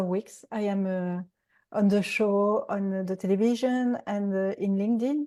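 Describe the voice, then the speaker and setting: A woman's fairly slow speech in a strong French accent, medium in pitch, dark and mellow in tone, with fairly even intonation over a quiet background. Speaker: executive coach and TV expert. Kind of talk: interview. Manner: halting.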